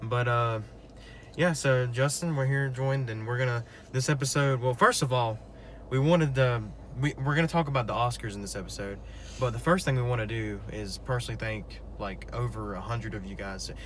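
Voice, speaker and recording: Audible room echo follows this man as he talks at a fairly quick speed. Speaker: podcast co-host. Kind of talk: casual chat. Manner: fast.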